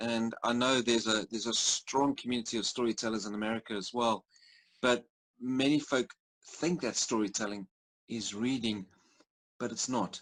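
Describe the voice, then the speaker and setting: With a dry, close sound and no echo, a man speaks at a medium pitch and a moderate pace with fairly even intonation over a quiet background. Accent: South African. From South Africa. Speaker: storyteller and entrepreneur. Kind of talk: interview. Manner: halting.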